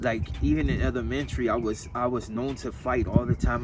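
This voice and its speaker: With an American accent and ordinary pitch variation, the voice is heard over music in the background. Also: man. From San Fernando Valley, Los Angeles. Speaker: interviewee, gang member and clothing designer. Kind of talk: casual interview.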